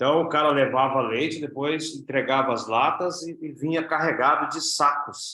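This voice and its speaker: With an unremarkable speaking voice, a man talks at a moderate pace and fairly high pitch, with hardly any pauses. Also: fairly even intonation. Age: 60s. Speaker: network marketing business leader. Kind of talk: interview.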